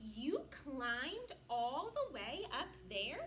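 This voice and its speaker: Over clear background noise, a woman speaks very slowly in a put-on character voice. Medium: read story. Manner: gentle, slightly shy.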